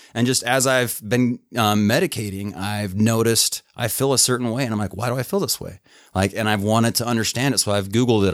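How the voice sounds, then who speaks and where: A man's plain, everyday voice, fairly low in pitch, with an American accent, a fairly quick pace and fairly even intonation. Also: hardly any pauses. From northern Utah, small farm town near Idaho border. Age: 30s. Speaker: plumber and medical cannabis patient. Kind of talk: casual interview chat.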